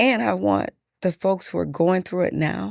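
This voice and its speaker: Recorded very cleanly against a silent background, a woman with an American accent speaks at a moderate pace with a dry, close sound with no echo. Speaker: politician, mayoral candidate. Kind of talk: interview conversation. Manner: soft-spoken.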